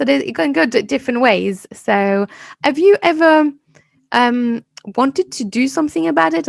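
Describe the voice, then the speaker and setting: Lively intonation and a French accent come through on a very clean recording with a silent background and a dry, close sound with no echo. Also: woman. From France. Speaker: podcast host and fear coach. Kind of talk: interview.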